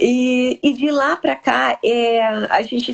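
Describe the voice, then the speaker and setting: A woman's high-pitched voice with a strong gaúcho accent. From southern Brazil (Rio Grande do Sul). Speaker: live stream host. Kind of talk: casual interview chat. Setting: live stream.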